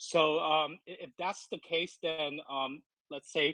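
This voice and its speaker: A man speaks with a non-native accent. His pitch is fairly high and his intonation fairly even. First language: not English. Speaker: crypto project representative. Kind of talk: AMA interview answers. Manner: halting, many fillers.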